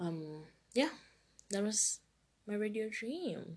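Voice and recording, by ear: A woman speaks slowly at a medium pitch with a slightly husky edge and big pitch swings.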